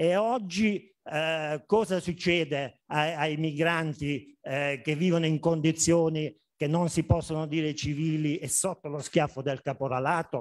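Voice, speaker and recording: A man talks at a fairly slow pace with hardly any pauses, using a fairly high pitch and ordinary pitch variation over a quiet background. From Basilicata, southern Italy. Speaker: agronomist, conference speaker; conference speaker. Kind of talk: conference talk. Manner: hesitant, many fillers. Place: hall. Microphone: camera far.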